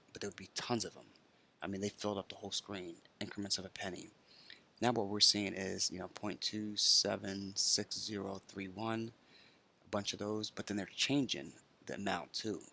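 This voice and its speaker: A quiet man speaks in a bright, sharp tone at a fairly low pitch with monotone, flat intonation. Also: moderate pace, big swings in loudness. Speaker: crypto trading commentator. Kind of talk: screen-share market commentary. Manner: talking quietly; many filler words.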